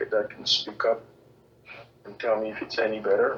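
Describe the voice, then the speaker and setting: A man speaks over noticeable background noise. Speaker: Q&A session presenter. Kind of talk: online Q&A session. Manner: monotone; not enunciating clearly.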